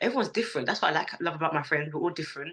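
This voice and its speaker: A woman with a London accent speaks with very wide pitch swings. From North London. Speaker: school staff member. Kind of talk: interview. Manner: casual, hesitant.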